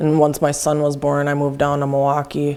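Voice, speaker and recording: A woman speaks with an Upper Midwest accent. Her pitch is very deep and low. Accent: Upper Midwest American. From Wisconsin, US Midwest. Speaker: person in recovery. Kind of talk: testimony.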